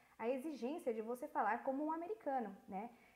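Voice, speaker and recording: Speech at a moderate tempo comes with noticeable background noise. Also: woman. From Brazil. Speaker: voice-over artist and voice actress. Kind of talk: interview. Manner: animated.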